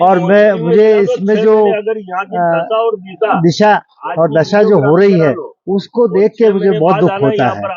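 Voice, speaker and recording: With very even loudness, a man speaks at a high pitch and with ordinary pitch variation. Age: 80s+. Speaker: local resident, regular park visitor. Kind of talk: vox pop interview.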